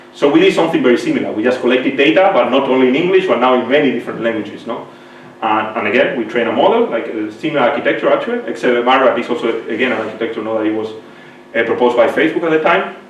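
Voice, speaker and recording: A man speaks very fast at a medium pitch with ordinary pitch variation and hardly any pauses, over audible room echo and noticeable background noise. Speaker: computer science professor. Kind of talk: lecture. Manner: halting, many fillers.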